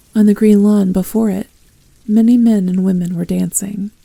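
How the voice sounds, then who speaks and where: The delivery is calm in tone, monotone and flat in intonation, at a moderate pace. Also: woman. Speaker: ASMR roleplay performer. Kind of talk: audiobook reading. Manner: soft-spoken, calm.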